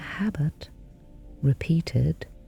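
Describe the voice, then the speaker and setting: With music in the background, a woman speaks very slowly in a gentle, calm tone. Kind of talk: sleep story, gentle guided reassurance for bedtime. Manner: gentle, calm, slow, soothing.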